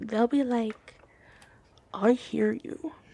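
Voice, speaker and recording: Over noticeable background noise, someone speaks at a very slow pace in a playful tone. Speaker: ASMR creator. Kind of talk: ASMR roleplay gossip ramble. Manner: casual, playful, sassy.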